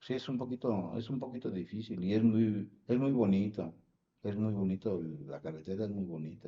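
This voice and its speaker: Using ordinary pitch variation, a man speaks at a moderate pace with a fairly low pitch. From Mexico City. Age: 60s. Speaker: retired truck driver. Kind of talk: interview. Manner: halting, many fillers.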